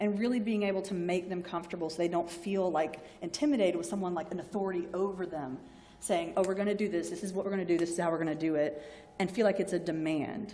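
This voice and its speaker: A woman with a Southern US accent, fairly low-pitched, talking at a very fast pace with ordinary pitch variation, amid audible room echo and noticeable background noise. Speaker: health sciences librarian. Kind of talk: lecture. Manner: conversational, informal.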